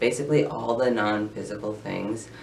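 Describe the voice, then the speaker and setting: Over noticeable background noise and audible room echo, a man talks at a moderate pace with a fairly low pitch and ordinary pitch variation. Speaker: vlogger sharing transition updates. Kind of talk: casual vlog update. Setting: filming in bedroom in front of tapestry. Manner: hesitant, many filler words.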